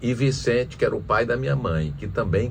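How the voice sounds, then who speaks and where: Speaking at medium pitch with very wide swings, a man is heard with audible room echo. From Piauí, Brazil (Teresina). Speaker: former senator and businessman. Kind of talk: interview. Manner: halting, with many restarts.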